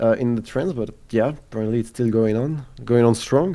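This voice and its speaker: Dark, mellow male voice with ordinary pitch variation, moving at a moderate pace. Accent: French. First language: French. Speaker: gaming content creator. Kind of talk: casual chat. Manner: halting.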